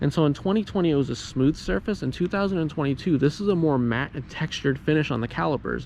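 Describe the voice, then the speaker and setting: Very fast, fairly high-pitched man with lively intonation and hardly any pauses. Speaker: car YouTuber. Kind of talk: vlog.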